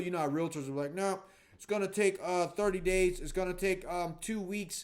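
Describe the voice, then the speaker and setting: Pitch moves in an ordinary way here. The voice belongs to a man. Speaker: real estate investor and trainer. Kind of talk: casual talking-head video. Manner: fast; energetic.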